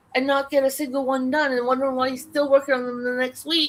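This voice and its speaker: A woman speaks very fast in a high pitch. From Canada. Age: 50s. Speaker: livestream crafter. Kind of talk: casual chat.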